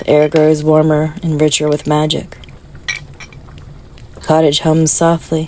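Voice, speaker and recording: A woman speaks in a very deep, low pitch with a soothing tone and monotone, flat intonation. Her pace is fairly slow with long, frequent pauses, and noticeable background noise runs underneath. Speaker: meditation guide. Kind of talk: guided meditation sleep story. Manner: soft-spoken, soothing.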